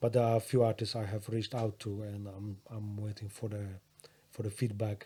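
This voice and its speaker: A man with a Polish accent talks at a fairly quick pace in a fairly low, somewhat breathy voice. His tone is dark and mellow, his intonation monotone and flat. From Poland. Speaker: rapper and music producer. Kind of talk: casual chat. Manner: halting.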